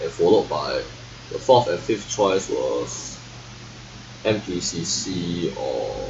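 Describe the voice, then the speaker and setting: A man at a very slow pace with long, frequent pauses, over noticeable background noise. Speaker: vlogger. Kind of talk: casual monologue. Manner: halting.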